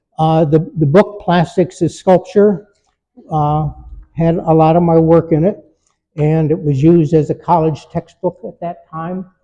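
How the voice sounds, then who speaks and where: A man with an American accent speaks at a fairly slow pace. His voice is high-pitched, with a dark, mellow tone. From Detroit, US Midwest. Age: 80s+. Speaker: artist. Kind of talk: artist talk. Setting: gallery with audience. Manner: halting.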